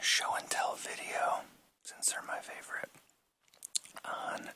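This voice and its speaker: Someone is whispering. The pace is fairly slow. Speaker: ASMR creator. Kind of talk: whispered show and tell. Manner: whispered.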